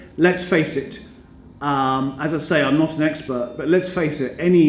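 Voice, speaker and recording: A man with a British accent talks at a moderate pace with fairly even intonation. Audible room echo and noticeable background noise are present. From Britain. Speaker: educator and business school representative. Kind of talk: conference speech. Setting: conference stage with audience. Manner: formal, hesitant with many ums.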